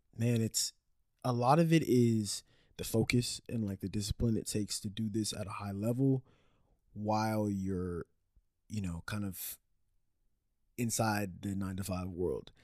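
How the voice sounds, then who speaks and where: A man with a dark, mellow tone and fairly low pitch talks at a fairly slow pace with long, frequent pauses and ordinary pitch variation, the sound dry and close with no echo. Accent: American. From Dallas area, Texas. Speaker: musician. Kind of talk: casual interview.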